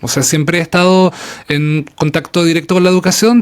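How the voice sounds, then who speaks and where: A man with a Chilean accent talks at a fairly quick pace with a high pitch and ordinary pitch variation. Noticeable background noise can be heard. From Chile, Patagonia (Punta Arenas, Magallanes). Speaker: English teacher and traveler. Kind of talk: interview conversation. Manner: hesitant, many fillers.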